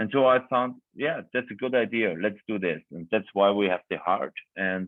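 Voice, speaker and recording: The speaker has a non-native accent and ordinary pitch variation. The pace is moderate. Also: man, fairly low pitch for a man. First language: German. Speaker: winemaker. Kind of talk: virtual wine tasting talk. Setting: video call. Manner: halting, searching for words.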